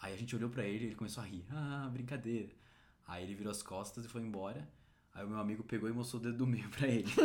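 Against noticeable background noise and audible room echo, the speech runs very fast with fairly even intonation. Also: man, medium pitch for a man. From Brazil. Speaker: podcast host. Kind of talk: casual chat.

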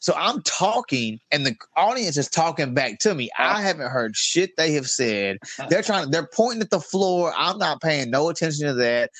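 A man with a Southern US accent and very wide pitch swings. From Mississippi (Meridian, Picayune). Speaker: comedian and combat veteran. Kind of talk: casual chat.

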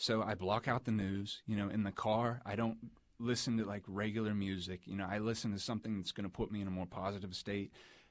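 An unremarkable speaking voice from a man with an American accent, fairly low-pitched, fairly even in intonation, at a fairly quick pace, on a very clean recording with a silent background. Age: 20s. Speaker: car salesman, podcast guest. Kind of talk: casual interview.

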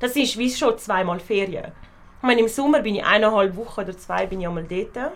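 At a fairly quick pace, a plain, everyday voice speaks with ordinary pitch variation. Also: woman, fairly high pitch for a woman. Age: 20s. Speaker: university student. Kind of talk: casual chat.

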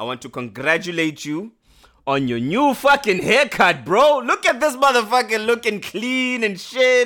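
A man projects a raised voice, high in pitch with a bright, sharp tone. He speaks at a fairly slow pace with very wide pitch swings. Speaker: podcast co-host. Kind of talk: casual chat.

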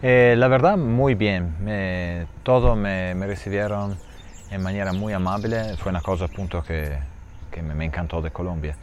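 A man's very deep, low pitch with audible room echo. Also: ordinary pitch variation, fairly slow pace. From Italy. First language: Italian (speaking Spanish). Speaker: cheesemaker. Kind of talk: interview. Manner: halting.

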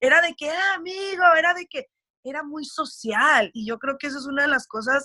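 With a Mexican accent, a woman speaks in a raised, projected voice at a moderate pace. Her tone is bright and sharp, her intonation lively, and the sound dry and close with no echo. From US, raised by Mexican family, schooled in Mexico. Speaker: radio producer. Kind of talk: interview conversation. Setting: video call.

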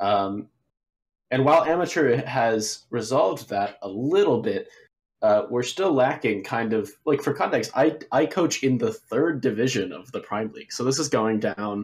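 Using a plain, everyday voice, a man of medium pitch talks at a moderate pace with lively intonation. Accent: American. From Texas, Dallas. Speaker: esports coach, caller. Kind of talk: call-in opinion.

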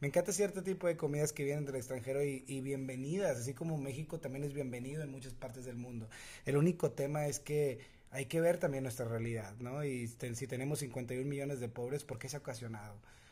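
A man's somewhat breathy, dark and mellow voice at a medium pitch, fairly quick pace and ordinary pitch variation. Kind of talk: casual chat.

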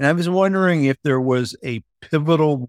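This man has an unremarkable speaking voice with lively intonation and a fairly slow pace. The recording is very clean, with a silent background and a dry, close sound without echo. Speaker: podcast co-host. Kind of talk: casual interview chat.

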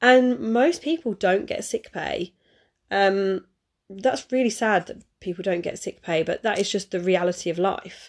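At a fairly slow pace, a woman talks in a medium pitch with ordinary pitch variation.

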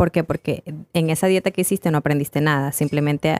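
A woman speaks very fast at a very deep, low pitch, with fairly even intonation. The recording is very clean and dry, close with no echo, over a silent background. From Ecuador. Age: 20s. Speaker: fitness coach and influencer. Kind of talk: casual chat.

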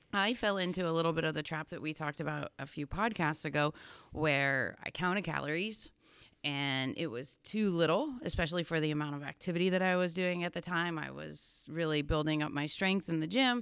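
With a Pennsylvania accent, a woman speaks fairly quickly at a fairly low pitch with ordinary pitch variation. The recording is very clean, with a silent background. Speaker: fitness coach and podcast co-host. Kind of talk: casual chat. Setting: studio.

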